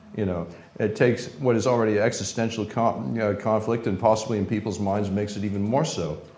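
A man with an American accent at a very fast pace, fairly even intonation, and audible room echo. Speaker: former secret service agent and chemical weapons expert. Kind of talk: live interview. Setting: stage with audience.

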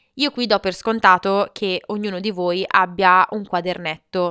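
Recorded very cleanly against a silent background, with a dry, close sound and no echo, a woman speaks at a fairly slow pace in a medium pitch, her tone bright and sharp and her intonation fairly even. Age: 20s. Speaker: podcast host. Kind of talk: motivational monologue.

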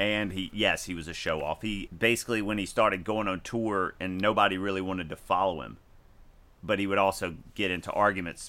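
In a very clean recording with a silent background, a man with an American accent and a very deep, low pitch speaks fairly quickly in a bright, sharp tone with fairly even intonation. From US South (Mississippi). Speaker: podcast host. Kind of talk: casual chat.

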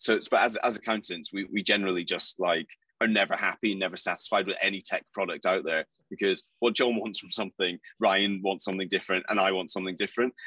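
Someone speaks very fast with a British accent. The sound is dry and close, with no echo. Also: man, fairly low pitch for a man. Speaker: accounting firm leader. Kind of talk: casual chat. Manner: animated.

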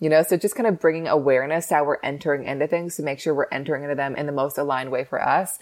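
The intonation stays fairly even. The pace is very fast. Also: woman, very deep, low pitch for a woman. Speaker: human design expert. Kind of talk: interview explanation.

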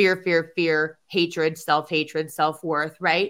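This woman has an ordinary speaking voice, fairly low in pitch, with fairly even intonation. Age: 50s. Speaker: podcast host. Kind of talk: casual chat.

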